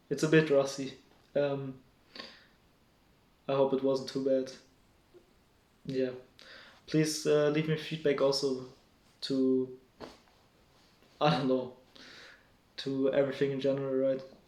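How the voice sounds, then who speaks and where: A man with a fairly high pitch speaks in a monotone, flat intonation with long, frequent pauses, and audible room echo surrounds him. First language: not English. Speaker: solo vlogger. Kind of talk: casual monologue to camera. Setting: home at night, speaking alone to camera. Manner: halting, many fillers and restarts.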